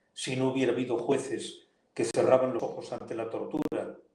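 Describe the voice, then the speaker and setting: The voice moves at a moderate pace with audible room echo. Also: man. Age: 70s. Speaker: politician and lawyer. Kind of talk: interview. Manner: animated.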